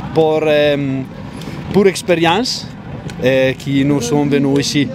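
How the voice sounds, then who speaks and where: A man's fairly high voice with a strong Italian accent and fairly even intonation, amid audible room echo and music in the background. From northern Italy, Bergamo area. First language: Italian (speaking French). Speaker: parent of a young trial rider. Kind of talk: interview. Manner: halting.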